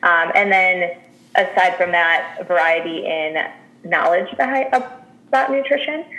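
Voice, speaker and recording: A woman's very slow speech carries very wide pitch swings, with noticeable background noise behind her. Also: medium pitch for a woman. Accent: American. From Chicago. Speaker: registered dietitian. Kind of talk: interview.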